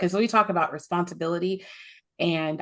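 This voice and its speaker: A woman talks very fast, with ordinary pitch variation. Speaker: podcast host. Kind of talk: podcast interview talk.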